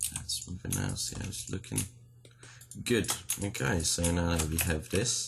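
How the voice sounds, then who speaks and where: A man with a very deep, low pitch and vocal fry talks at a moderate pace with lively intonation and long, frequent pauses. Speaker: 3D modeling tutorial creator. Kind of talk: tutorial. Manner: casual with frequent um fillers.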